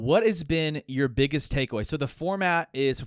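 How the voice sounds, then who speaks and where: With a plain, everyday voice, a man talks at a moderate pace and ordinary pitch variation in a very clean recording with a silent background and a dry, close sound with no echo. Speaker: podcast host. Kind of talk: casual podcast conversation.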